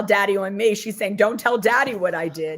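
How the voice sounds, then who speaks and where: Animated in tone, a woman speaks at a moderate pace with a medium pitch and ordinary pitch variation. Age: 60s. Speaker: cannabis tour business owner. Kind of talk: casual interview chat. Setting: live stream.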